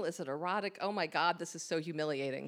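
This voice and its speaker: Here is a woman with an American accent and an unremarkable speaking voice, pitched fairly low. She talks at a moderate pace with ordinary pitch variation. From Long Island, New York. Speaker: storyteller. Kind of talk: live storytelling. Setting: stage with audience.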